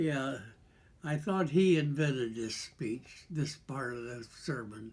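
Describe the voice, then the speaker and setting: A man's somewhat breathy, fairly high voice at a very slow pace, with ordinary pitch variation. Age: 80s+. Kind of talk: casual talk.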